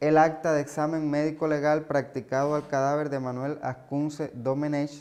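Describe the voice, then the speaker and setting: Speaking at a fairly slow pace, a man with fairly high pitch keeps a monotone, flat intonation. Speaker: museum guide. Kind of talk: guided tour explanation.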